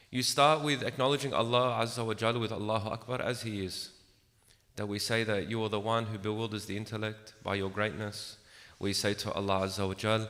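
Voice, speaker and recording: Soft-spoken, a man talks at a moderate pace and medium pitch. Room echo is audible. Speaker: religious lecturer. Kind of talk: religious lecture. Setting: room with small audience, echo.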